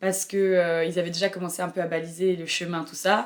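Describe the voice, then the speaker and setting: Her pitch fairly low, a woman talks at a fairly quick pace. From France, Burgundy. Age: 20s. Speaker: traveler, backpacker. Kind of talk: interview. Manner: hesitant, many fillers.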